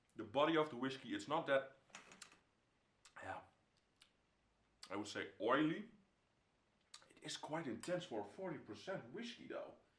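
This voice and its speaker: A man with a fairly high pitch and vocal fry speaks at a moderate pace, his pitch swinging very widely. Long, frequent pauses break up his speech, and there is audible room echo. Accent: Dutch. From Netherlands. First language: Dutch. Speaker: whisky reviewer. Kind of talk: product review; casual review vlog chat. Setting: home room. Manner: halting, with many fillers. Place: home room.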